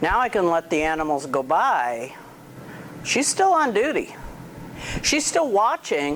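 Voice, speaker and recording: A woman's fairly low voice at a fairly slow pace, with very wide pitch swings, very even loudness, long, frequent pauses and noticeable background noise. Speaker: dog trainer. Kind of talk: outdoor training demonstration.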